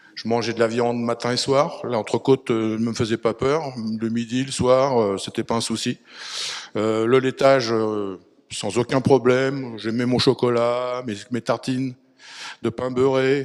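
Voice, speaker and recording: Speaking at a fairly slow pace, a man keeps a monotone, flat intonation. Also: medium pitch for a man. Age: 60s. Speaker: retired firefighter. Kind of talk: testimony. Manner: hesitant, many fillers.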